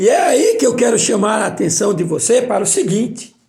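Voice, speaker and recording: Amid audible room echo, a man speaks at a fairly slow pace in an extremely high voice with very wide pitch swings. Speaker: preacher. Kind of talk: bible study sermon.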